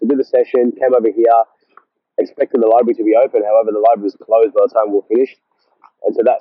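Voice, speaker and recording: Very fast and in an Australian accent, a man speaks. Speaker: vlogger. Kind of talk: casual monologue vlog. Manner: halting, repetitive.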